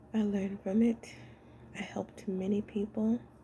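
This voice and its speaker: The speaker is a woman. She uses ordinary pitch variation at a moderate pace. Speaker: spiritual vlogger. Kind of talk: casual monologue.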